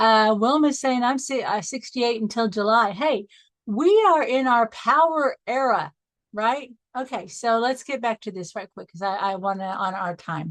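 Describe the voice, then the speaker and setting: Lively intonation runs through an ordinary speaking voice with an American accent. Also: woman, fairly high pitch for a woman, moderate pace. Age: 60s. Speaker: life coach. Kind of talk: online training call.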